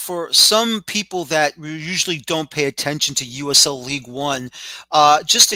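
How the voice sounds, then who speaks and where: A man talks at a moderate pace with a New York accent and a bright, sharp tone. The sound is dry and close with no echo. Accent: New York City. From New York City (the Bronx). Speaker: podcast host. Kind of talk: interview.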